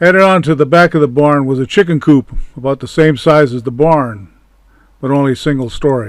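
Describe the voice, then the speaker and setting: A man talks in a fairly high pitch with an ordinary speaking voice. His pace is fairly quick, with ordinary pitch variation. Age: 60s. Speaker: channel owner recounting memories. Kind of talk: personal reminiscence narration.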